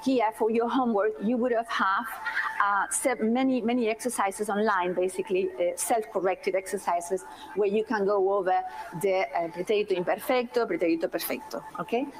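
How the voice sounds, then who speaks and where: Over noticeable background noise, a woman at a medium pitch talks at a fairly quick pace, with very even loudness and ordinary pitch variation. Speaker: university language lecturer. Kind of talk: lecture.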